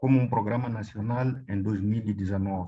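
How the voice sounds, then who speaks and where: A speaker with a Mozambican accent talks at a moderate pace against a quiet background. The tone is dark and mellow and somewhat breathy. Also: man. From Mozambique. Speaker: government health official; presenter. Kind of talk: presentation. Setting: video call. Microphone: video call.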